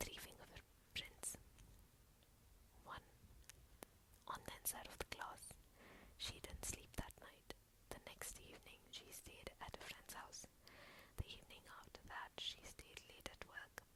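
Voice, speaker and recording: Someone whispers, taking a fairly slow pace. Pauses are long and frequent. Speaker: ASMR storyteller. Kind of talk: ASMR story reading. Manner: soft-spoken, calm.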